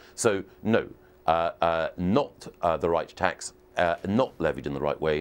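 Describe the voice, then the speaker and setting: Here a man speaks with a very deep, low pitch at a fairly slow pace. His loudness stays very even. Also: ordinary pitch variation. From Scotland. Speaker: politician. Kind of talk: TV news interview. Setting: live remote TV link.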